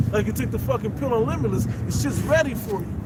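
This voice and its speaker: At a very fast pace, a man speaks at a medium pitch with ordinary pitch variation, amid noticeable background noise and audible room echo. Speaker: street preacher. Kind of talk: religious discussion. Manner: halting.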